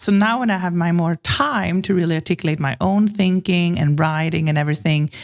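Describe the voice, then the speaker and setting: A woman talks at a fairly quick clip with hardly any pauses, her fairly low voice holding very even loudness and ordinary pitch variation. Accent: Swedish. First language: Swedish. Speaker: branding consultant. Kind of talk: podcast interview.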